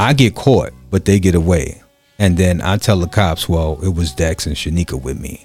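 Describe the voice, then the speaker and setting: Music plays behind a man speaking with a Brooklyn accent at a moderate pace. His voice sits very deep and low. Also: ordinary pitch variation. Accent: New York, Brooklyn. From Brooklyn, New York (Crown Heights). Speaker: podcast host and DJ. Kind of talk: casual chat. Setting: studio.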